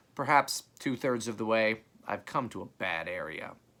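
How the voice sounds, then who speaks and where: In a put-on character voice, a man speaks at a moderate pace and a medium pitch. His delivery is raspy, with big swings in loudness. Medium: read story. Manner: dry, understated.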